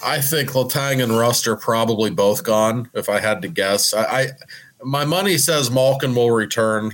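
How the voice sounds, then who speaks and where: In an American accent, a man with an unremarkable speaking voice talks at a moderate pace and medium pitch, his loudness very even. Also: ordinary pitch variation. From Pittsburgh, US. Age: 40s. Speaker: hockey reporter. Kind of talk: casual chat.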